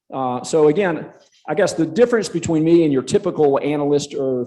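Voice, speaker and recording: A man with a Southern US accent, dark and mellow in tone, at a fairly quick pace. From South Carolina. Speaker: conference speaker, real estate analyst. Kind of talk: conference presentation. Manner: halting, many fillers.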